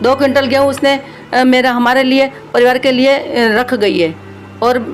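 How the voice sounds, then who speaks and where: This woman's voice is high-pitched and moves at a moderate pace, with clearly audible noise in the background. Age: 60s. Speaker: bereaved mother interviewed. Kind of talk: interview testimony. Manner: halting, many fillers.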